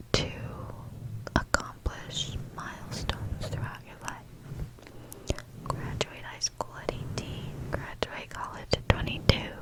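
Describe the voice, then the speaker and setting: A woman whispers in a gentle tone, leaving long, frequent pauses. Background noise is noticeable. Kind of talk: ASMR positive affirmations. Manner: whispered, soft, gentle.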